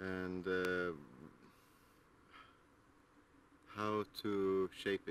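A man's fairly low pitch in a dry sound with no echo, with light background noise. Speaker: garden vlogger. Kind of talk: casual vlog chat. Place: garden. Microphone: phone near.

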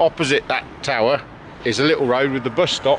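There is light background noise as a man talks at a fairly quick pace with ordinary pitch variation, the sound dry with no echo. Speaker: travel vlogger. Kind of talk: casual vlog chat. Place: street. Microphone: phone near.

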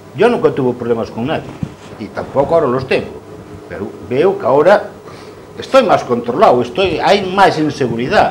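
With light background noise behind him, a man speaks at a fairly high pitch with very wide pitch swings. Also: moderate pace. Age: 60s. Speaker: coal truck driver; guest. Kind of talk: TV panel discussion. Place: studio. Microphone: lapel.

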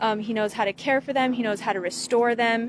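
A woman speaks with fairly even intonation over light background noise. The sound is dry with no echo. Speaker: fan page host. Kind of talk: casual vlog chat. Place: street. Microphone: phone near.

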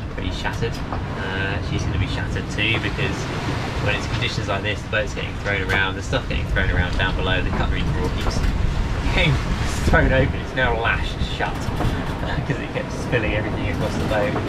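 Loud background noise accompanies a man who talks fairly quickly. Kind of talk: casual vlog chat. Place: boat. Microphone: camera far.

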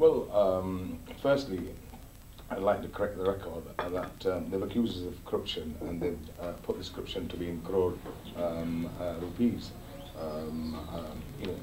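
A man's very deep, low voice at a moderate pace, fairly even intonation, and noticeable background noise. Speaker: interviewee. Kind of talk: interview answer. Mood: defensive, dismissive of accusations. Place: office.

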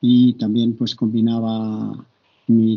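Over a quiet background, a man talks at a very slow pace in a monotone with flat intonation. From Spain, Barcelona. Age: 60s. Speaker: university professor and coach. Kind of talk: interview. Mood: calm, reflective. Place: home room. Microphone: video call.

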